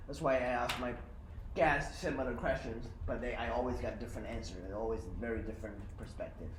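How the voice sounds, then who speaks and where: Very fast speech from a man amid noticeable background noise and audible room echo. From China. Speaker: podcast host. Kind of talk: casual chat. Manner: halting.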